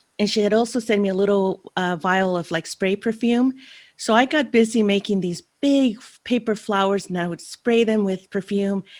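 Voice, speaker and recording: The speaker has a Spanish accent and a moderate pace, with big swings in loudness. The recording is very clean, the background silent. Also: woman, medium pitch for a woman, ordinary pitch variation. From El Salvador (San Salvador), then San Francisco from 11. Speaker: finance consultant, guest. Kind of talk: interview conversation.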